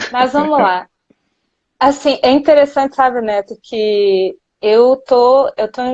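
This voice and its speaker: In a São Paulo accent, the speaker talks at a very slow pace with ordinary pitch variation against a quiet background. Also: woman. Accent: São Paulo (paulista). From Minas Gerais, Brazil. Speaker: nutritionist. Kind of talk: live interview. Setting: Instagram live.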